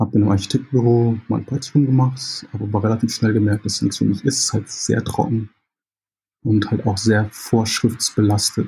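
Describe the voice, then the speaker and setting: A man speaks at a moderate pace with a fairly low pitch. His tone is dark and mellow, and somewhat breathy. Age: 30s. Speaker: concept artist. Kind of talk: interview. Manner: hesitant, many fillers.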